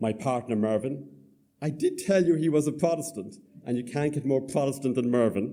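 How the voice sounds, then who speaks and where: With a Cork accent, a man speaks at a moderate pace and medium pitch in a dark, mellow tone. His intonation is lively, and audible room echo is present. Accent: Southern Irish, Cork. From Ireland, Cork. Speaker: storyteller. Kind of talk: storytelling to live audience. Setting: theatre stage with audience.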